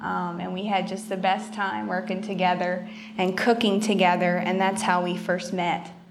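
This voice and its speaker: There is noticeable background noise as a woman speaks at a moderate pace. Her medium-pitched voice is monotone, with flat intonation. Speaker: chef. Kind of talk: interview.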